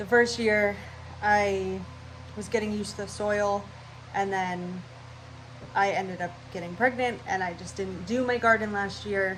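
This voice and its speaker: A woman speaks at medium pitch and a moderate pace with ordinary pitch variation, her loudness swinging widely between long, frequent pauses. Audible room echo and noticeable background noise fill the recording. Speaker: cooking and gardening vlogger. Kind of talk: casual vlog talk. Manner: scattered, rambling.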